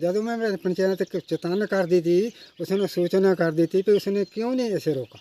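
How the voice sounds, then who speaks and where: The sound is dry and close with no echo as a man speaks in a high pitch with lively intonation. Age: 60s. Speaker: villager. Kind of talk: interview answer.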